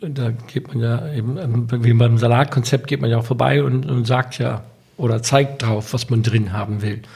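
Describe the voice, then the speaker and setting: A man's voice has a dark, mellow tone and is somewhat breathy. He speaks at a moderate pace. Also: medium pitch for a man, ordinary pitch variation. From Germany (US-born, moved at six). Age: 50s. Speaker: restaurant entrepreneur. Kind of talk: interview.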